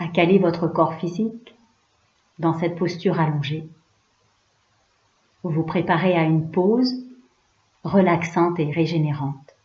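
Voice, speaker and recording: A woman's somewhat breathy voice sits fairly low in pitch, with fairly even intonation. She goes at a fairly slow pace with long, frequent pauses. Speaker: yoga nidra guide. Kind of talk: guided relaxation / yoga nidra. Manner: calm, slow, soothing.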